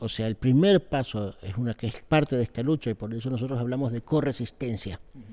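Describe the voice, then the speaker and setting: This man speaks at a medium pitch and a fairly quick pace with hardly any pauses, his tone dark and mellow and his pitch varying in an ordinary way, on a very clean recording with a silent background. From Israel (kibbutz), born in Argentina. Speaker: political activist, NGO director. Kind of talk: interview. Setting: backstage before a public talk. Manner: hesitant, many fillers.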